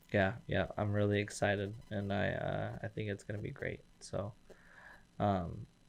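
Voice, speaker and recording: An American accent comes through at a fairly slow pace with fairly even intonation. Music plays in the background. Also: man, fairly low pitch for a man. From eastern Washington, US. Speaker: business development manager, podcast host. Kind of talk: casual interview. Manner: hesitant, many fillers.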